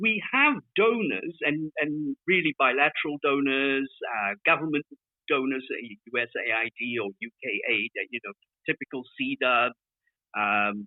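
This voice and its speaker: A fairly high-pitched man, lively in intonation, at a fairly slow pace. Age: 60s. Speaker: development aid advocate. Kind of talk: group discussion. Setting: online audio room. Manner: halting, many repeated words.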